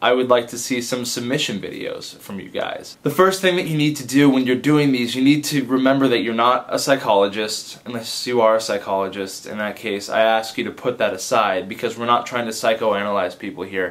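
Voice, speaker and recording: With an ordinary speaking voice, a man talks at a medium pitch and a fairly quick pace, hardly pausing, with ordinary pitch variation and big swings in loudness. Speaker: advice vlogger and comedy video maker. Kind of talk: casual direct-to-camera vlog.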